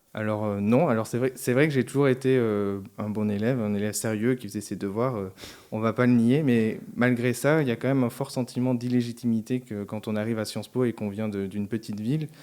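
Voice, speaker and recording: A man talks at a fairly quick pace in a medium pitch. His tone is dark and mellow, his intonation fairly even. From southern France, Albi (Tarn). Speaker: senate civil servant. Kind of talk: interview.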